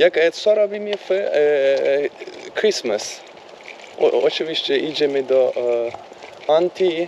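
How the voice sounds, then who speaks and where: A man with a non-native accent speaks very slowly, keeping his loudness very even. Noticeable background noise is present. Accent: non-native Polish, weak command. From Turkey. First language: Turkish (speaking Polish). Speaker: vlogger. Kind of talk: casual chat. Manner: halting, many fillers and English switches.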